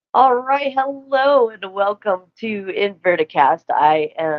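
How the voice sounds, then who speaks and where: A woman with an American accent speaks at a fairly high pitch, her voice swinging very widely up and down. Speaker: podcast host. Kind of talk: casual chat. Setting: live stream video call. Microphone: quiet, hard to hear.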